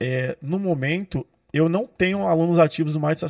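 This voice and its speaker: A plain, everyday voice with lively intonation comes through dry and close, with no echo. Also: man. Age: 20s. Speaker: personal trainer and nutritionist. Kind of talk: interview conversation. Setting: podcast studio.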